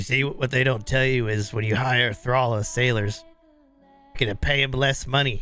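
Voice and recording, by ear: A husky, put-on character voice delivers the lines at a moderate pace. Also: man, medium pitch for a man.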